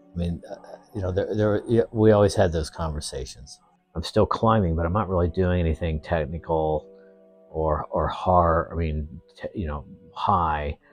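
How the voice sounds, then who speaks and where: Music plays in the background as a man talks at a moderate pace. His pitch is very deep and low, with ordinary variation. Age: 60s. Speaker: retired mountaineer and climbing guide. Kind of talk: casual interview. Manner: halting, many fillers.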